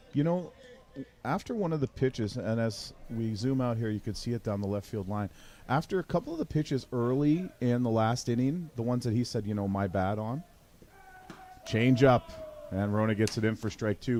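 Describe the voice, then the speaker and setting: This is a man speaking at a medium pitch with ordinary pitch variation. His is an unremarkable speaking voice. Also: moderate pace. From Newfoundland, Canada. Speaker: play-by-play sports commentator. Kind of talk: live sports commentary.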